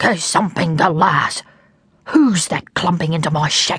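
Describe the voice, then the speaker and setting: A woman's growling, whispering put-on character voice at a moderate pace. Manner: cross, snarling.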